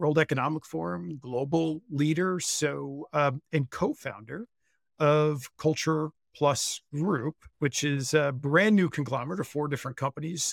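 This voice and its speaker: This man has a normal speaking voice, fairly high for a man, with ordinary pitch variation and a fairly slow pace. The sound is dry and close with no echo, on a very clean recording with a silent background. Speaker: podcast co-host. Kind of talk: podcast interview.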